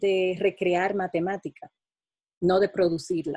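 A woman speaks at a fairly slow pace in a dark, mellow tone, with a dry sound that has no echo and a quiet background. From Dominican Republic. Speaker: mathematics education professor. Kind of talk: interview answers. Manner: halting, many fillers. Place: home room. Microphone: webcam.

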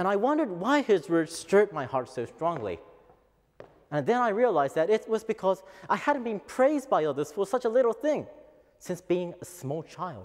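Over a quiet background, a man speaks at a high pitch and a moderate pace. His pitch swings very widely. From Japan. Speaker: office worker. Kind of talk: English speech contest oration. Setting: lecture hall stage. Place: hall.

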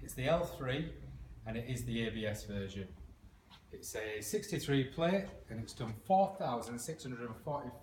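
A man's voice carries audible room echo. Light background noise sits behind him. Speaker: motorbike salesman. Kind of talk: casual sales walkaround. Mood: upbeat, jokey. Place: shop. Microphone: phone near.

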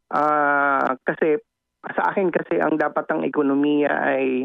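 This man's voice is fairly high, and his intonation stays fairly even. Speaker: political analyst and professor. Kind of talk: interview. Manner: halting.

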